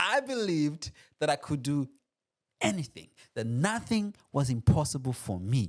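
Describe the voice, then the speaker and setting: Speaking in an animated tone at a moderate pace, a man with a slight Burundian accent uses a fairly high pitch and very wide pitch swings. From Burundi, later Australia. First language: not English. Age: 30s. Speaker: podcast host. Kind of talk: motivational personal story monologue.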